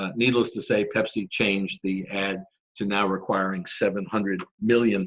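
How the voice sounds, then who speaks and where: An unremarkable speaking voice carries on at a moderate pace with fairly even intonation. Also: man. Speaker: corporate lawyer presenter. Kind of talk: webinar presentation. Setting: online webinar.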